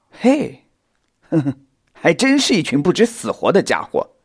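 Using a put-on character voice with a slightly husky edge, a man speaks at a moderate pace and a fairly high pitch with very wide pitch swings.

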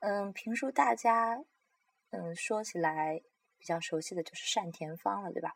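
A woman of medium pitch talks at a fairly slow pace, her voice making very wide pitch swings. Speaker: podcast host sharing opera and crosstalk recordings. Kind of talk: casual solo talk. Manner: halting, many fillers.

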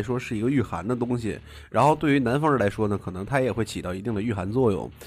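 Very fast, lively intonation from a man at medium pitch. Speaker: podcast host. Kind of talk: casual chat. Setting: studio.

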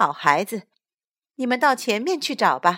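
A woman with vocal fry speaks in an animated, gentle tone, her pitch swinging very widely. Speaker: storyteller. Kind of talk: fairy-tale narration. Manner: gentle, warm, soothing; animated, voicing characters.

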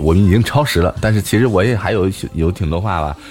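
Very fast speech from a man with ordinary pitch variation amid noticeable background noise. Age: 20s. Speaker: live-stream radio host. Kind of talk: casual interview chat. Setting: live stream audio room.

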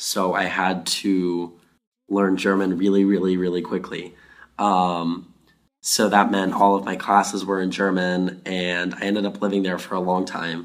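Against audible room echo, a man talks in a very deep, low, flat monotone at a fairly slow pace. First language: Afrikaans (speaking Chinese). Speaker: university student. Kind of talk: interview answers. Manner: halting in Chinese.

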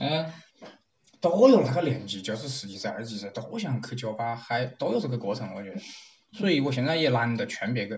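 The speaker has a Wuhan accent and talks at a fairly quick pace. The intonation is lively, with big swings in loudness. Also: man, medium pitch for a man. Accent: Wuhan-accented Mandarin. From Wuhan, China. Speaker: interviewee. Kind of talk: casual chat. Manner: animated.

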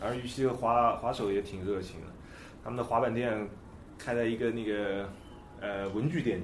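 Audible room echo follows a man speaking at a moderate pace and medium pitch, with ordinary pitch variation and long, frequent pauses. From China, Nanjing. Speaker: skateboard photographer. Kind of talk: casual chat.

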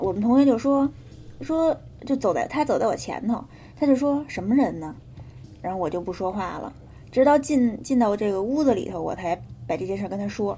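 With long, frequent pauses, a woman speaks at a fairly quick pace in a dark, mellow, somewhat breathy voice with very wide pitch swings. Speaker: podcast co-host telling ghost stories. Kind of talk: casual storytelling chat.

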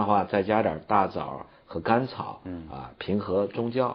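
A man's a normal speaking voice, fairly low in pitch, at a moderate pace with lively intonation. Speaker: traditional Chinese medicine teacher. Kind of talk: educational TV talk.

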